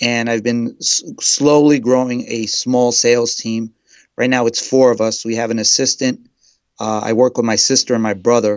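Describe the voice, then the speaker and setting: With a New York accent, a man speaks at a moderate pace in a monotone, flat intonation. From New York City (Brooklyn). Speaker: real estate agent. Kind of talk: interview. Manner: halting, repeats words.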